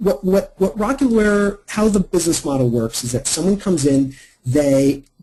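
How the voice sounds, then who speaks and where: The voice belongs to a man and is somewhat breathy. Its tone is dark and mellow. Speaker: marketing consultant. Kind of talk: webinar presentation. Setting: online webinar. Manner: fast.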